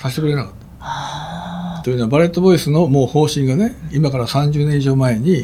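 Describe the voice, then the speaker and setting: Noticeable background noise sits behind a man speaking at a moderate pace in a fairly high pitch with ordinary pitch variation. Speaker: pediatric heart surgeon. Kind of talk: interview.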